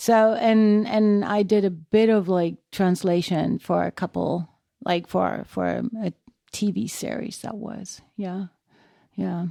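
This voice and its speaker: Very slow, fairly even speech with a dry, close sound with no echo, on a very clean recording with a silent background. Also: woman, medium pitch for a woman. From Germany, Düsseldorf. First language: German. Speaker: illusionist and actress. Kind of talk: casual chat.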